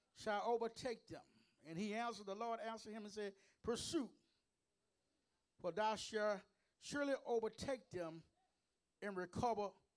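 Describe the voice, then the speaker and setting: A man with a high pitch speaks in an energetic tone at a moderate pace, with ordinary pitch variation. Long, frequent pauses fill the speech, set against a quiet background. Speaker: preacher. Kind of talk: sermon delivered to a congregation. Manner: energetic, call-and-response preaching. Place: church. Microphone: handheld.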